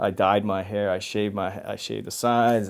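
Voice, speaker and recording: A man with a New York accent talks at a moderate pace. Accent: New York American English. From New York City. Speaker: actor. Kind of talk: interview answer. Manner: casual, conversational.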